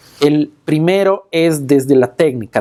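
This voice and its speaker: A man's fairly high-pitched voice, with ordinary pitch variation, moves at a fairly slow pace. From Quito, Ecuador. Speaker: magician and stage performer. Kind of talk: interview answer.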